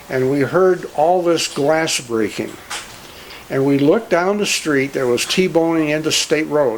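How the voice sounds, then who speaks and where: A man with a Midwestern American accent, fairly high in pitch, at a fairly slow pace with ordinary pitch variation, over noticeable background noise. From Cleveland, Ohio. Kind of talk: storytelling.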